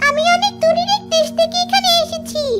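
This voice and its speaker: Over clear background music, a female-sounding cartoonish character voice speaks at a moderate pace with a high pitch. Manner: gentle, calm.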